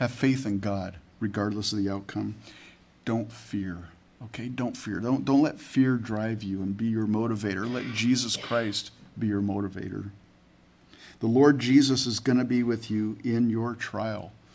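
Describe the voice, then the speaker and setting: Audible room echo follows a man talking at a moderate pace with medium pitch. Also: fairly even intonation. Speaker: pastor. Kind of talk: sermon. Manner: halting, repeats words.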